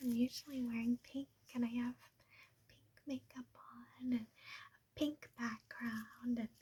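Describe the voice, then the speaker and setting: Speaking softly and at a rather slow pace, a woman is heard through noticeable background noise. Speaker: ASMR creator. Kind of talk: casual talk to camera. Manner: soft-spoken, rambling.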